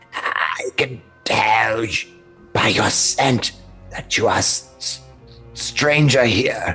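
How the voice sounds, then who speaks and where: Putting on a raspy character voice at a medium pitch, a man speaks very slowly, with faint music in the background. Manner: broken speech, ominous.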